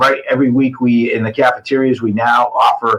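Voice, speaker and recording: This man speaks with a New England accent at a medium pitch. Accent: New England American. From Massachusetts, New Bedford. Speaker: school administrator. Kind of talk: casual interview chat.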